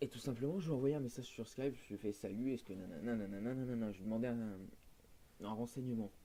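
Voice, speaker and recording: A man with a medium pitch and a dark, mellow tone speaks at a fairly quick pace with fairly even intonation. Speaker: gaming youtuber. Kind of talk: casual rant to viewers. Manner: hesitant, many fillers. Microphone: poor microphone.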